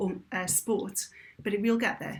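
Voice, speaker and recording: A slightly British accent from a somewhat breathy woman, with fairly even intonation. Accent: British, slight. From Britain. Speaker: adventurer and motivational speaker. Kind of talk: podcast interview.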